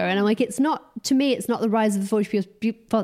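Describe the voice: A woman talks at a fast pace in a slightly mellow tone, her intonation fairly even.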